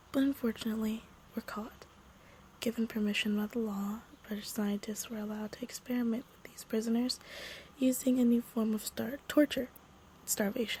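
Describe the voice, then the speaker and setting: A woman whispers at a fairly quick pace. Her speech has long, frequent pauses, with noticeable background noise behind it. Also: big swings in loudness. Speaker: podcast story narrator. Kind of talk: reading a creepy story aloud; casual intro. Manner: whispering; soft-spoken.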